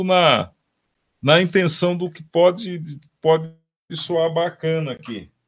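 Speaking at a very slow pace, a man uses a high pitch. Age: 60s. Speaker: drummer and music teacher. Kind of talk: casual interview with drum demonstrations. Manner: halting, many repetitions.

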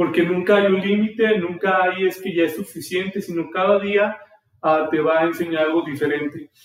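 A man with a central Mexican accent speaks at a moderate pace in a high voice with fairly even intonation. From Mexico, Aguascalientes. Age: 20s. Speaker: podcast host, entrepreneur. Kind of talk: solo podcast monologue. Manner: casual, hesitant with fillers.

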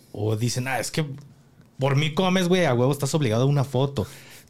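A man speaks at a medium pitch with a Mexican accent. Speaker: podcast host. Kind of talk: casual interview.

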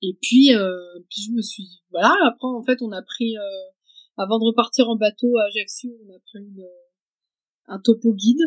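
Somewhat breathy, a woman talks at a fairly slow pace with ordinary pitch variation, recorded dry and close with no echo. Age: 30s. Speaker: hiker and mother of two. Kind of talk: interview, personal story. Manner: halting, many hesitations.

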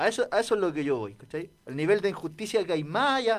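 The background is silent and the recording very clean. A man talks throughout. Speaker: radio host. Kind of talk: casual chat.

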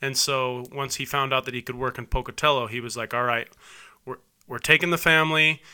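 A man talks with an American accent in a bright, sharp tone. His intonation stays fairly even. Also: medium pitch for a man, fairly quick pace, very clean recording, silent background. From southeast Idaho, US. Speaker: wedding officiant and former athlete. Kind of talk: casual interview.

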